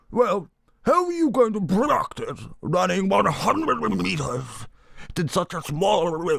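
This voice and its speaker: A pompous tone comes through in a put-on character voice. The pace is fairly slow. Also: man. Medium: read story. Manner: pompous, blustering.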